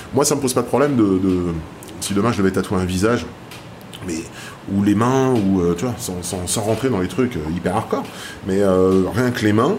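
A man's speech full of long, frequent pauses, with audible room echo and noticeable background noise. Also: fairly low pitch for a man, ordinary pitch variation, moderate pace. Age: 50s. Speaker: tattoo artist. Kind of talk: interview. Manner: hesitant.

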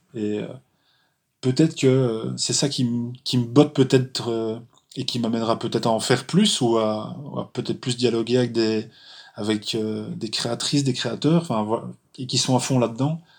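At a fairly slow pace with long, frequent pauses, a man speaks in a medium pitch with fairly even intonation. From Belgium, Charleroi. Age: 40s. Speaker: graphic designer, fanzine creator. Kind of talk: interview. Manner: halting, many hesitations and repetitions.

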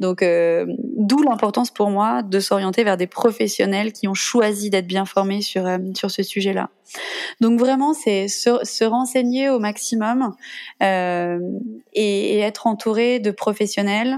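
A very slow pace and gentle tone with ordinary pitch variation. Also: woman, medium pitch for a woman. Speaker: mother sharing breastfeeding story. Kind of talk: testimony. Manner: gentle, spontaneous.

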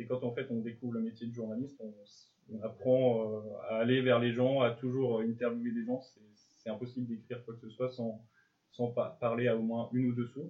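At a moderate pace, a man speaks in a medium pitch with monotone, flat intonation, leaving long, frequent pauses. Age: 20s. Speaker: journalism student. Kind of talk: interview. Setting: school resource centre. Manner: halting, repeats words.

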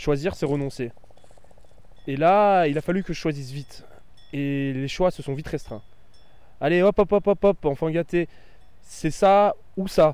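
Dark and mellow in tone, this man's voice sits fairly high in pitch. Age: 30s. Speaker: former teacher. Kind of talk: scripted narration.

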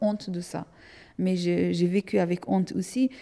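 A woman is speaking. Her tone is dark and mellow. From Afghanistan, Hazara from central region. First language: Dari (Persian) (speaking French). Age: 30s. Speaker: artist. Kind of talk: testimony. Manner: halting, with repetitions.

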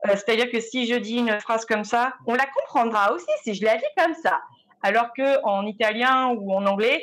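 With an unremarkable speaking voice, a woman talks at a moderate pace in a fairly high pitch with ordinary pitch variation. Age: 30s. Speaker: visual and sound artist. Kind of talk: panel discussion.

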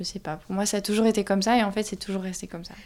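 Here is a woman with a medium pitch. Her tone is dark and mellow. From southern France (Toulouse). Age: 20s. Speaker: young flatmate. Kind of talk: interview testimony.

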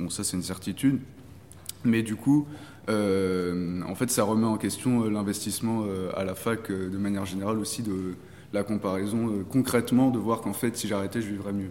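A man speaks at a moderate pace with a fairly low pitch. His tone is dark and mellow, and his intonation is fairly even. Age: 20s. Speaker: master's student. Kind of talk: casual chat.

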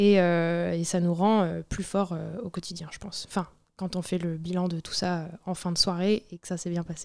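A woman's fairly low voice in monotone, flat intonation, with big swings in loudness, on a very clean recording with a silent background. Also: fairly slow pace. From Brittany, France. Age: young. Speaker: barmaid. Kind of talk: interview, casual chat. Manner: hesitant, many fillers.

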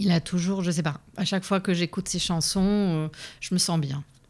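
Here is a woman with a plain, everyday voice at medium pitch. She talks at a moderate pace with fairly even intonation. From Lebanon and Canada. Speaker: immigrant sharing her life story. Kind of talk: interview testimony. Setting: studio.

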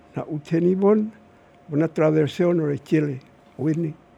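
A man speaks with a high pitch. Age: 80s+. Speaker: traditional storyteller. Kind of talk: storytelling. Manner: halting.

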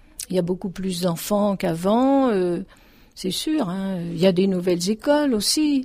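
A woman speaks at a medium pitch with a dark, mellow tone. Her voice is somewhat breathy and her intonation lively. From France, Paris suburbs (Dugny, Aubervilliers). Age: 70s. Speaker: retired accordion teacher. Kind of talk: testimony.

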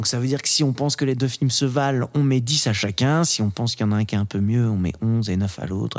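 This man has a normal speaking voice at a medium pitch. His intonation is lively. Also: very clean recording, silent background. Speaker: podcast host. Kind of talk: casual chat about films, debate.

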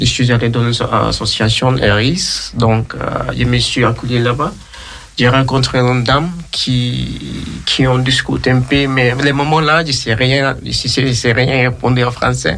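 A man talks at a fairly slow pace at medium pitch with ordinary pitch variation. Noticeable background noise runs underneath. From Sierra Leone. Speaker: asylum seeker. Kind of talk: interview testimony.

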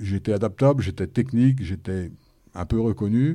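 The recording is very clean and the background silent. A man delivers his words with lively intonation in a dark, mellow tone. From France, Haute-Marne. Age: 50s. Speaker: quality manager. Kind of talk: panel discussion. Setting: studio with audience.

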